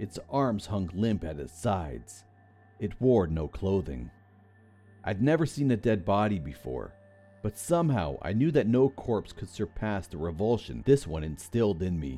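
Over music in the background, a man with a fairly low pitch talks in very wide pitch swings. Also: moderate pace. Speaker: narrator of creepypasta stories. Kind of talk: scripted horror story narration, ghost story telling. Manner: tense, hushed, suspenseful pacing with dramatic build.

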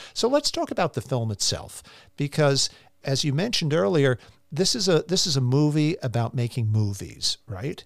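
A man with a fairly high pitch, lively intonation and moderate pace, an ordinary speaking voice, in a dry, close sound with no echo. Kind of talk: scripted intro followed by interview chat.

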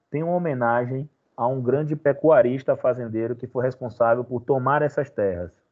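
At a fairly quick pace, a man speaks in an unremarkable speaking voice, pitched fairly high with ordinary pitch variation. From Bahia, Brazil (Feira de Santana). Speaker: history teacher. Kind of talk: online class.

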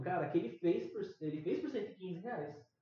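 A man with a high pitch talks at a fairly slow pace, his intonation lively. Audible room echo surrounds him. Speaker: podcast co-host. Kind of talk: casual chat.

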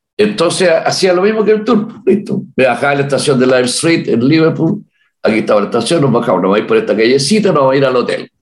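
This man speaks at a very fast pace and very even loudness, with vocal fry. His fairly high pitch makes very wide swings. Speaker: musician, leader of a Beatles tribute band. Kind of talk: interview.

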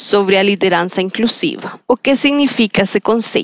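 A woman with a Colombian accent, medium in pitch, at a moderate pace with ordinary pitch variation. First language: Spanish (speaking Portuguese). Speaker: podcast host. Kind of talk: interview.

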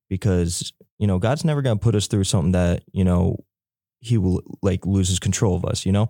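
On a very clean recording with a silent background and a dry, close sound with no echo, a man talks at a fairly quick pace with fairly low pitch, ordinary pitch variation, a dark, mellow tone and very even loudness. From North Carolina (Elizabeth City). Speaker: graduate student. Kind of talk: casual faith chat. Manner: laid-back.

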